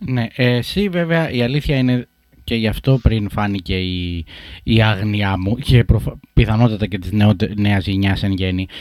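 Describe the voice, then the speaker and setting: In a plain, everyday voice, a man speaks at a fairly slow pace with a fairly low pitch and ordinary pitch variation. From Greece, Sparta and Corfu. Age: 30s. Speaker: podcast host. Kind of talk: interview conversation.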